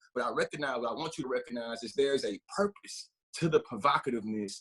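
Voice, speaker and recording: Animated in tone, a man at medium pitch speaks at a very fast pace. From US South. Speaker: diversity educator. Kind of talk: workshop talk. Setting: video call. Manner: loud.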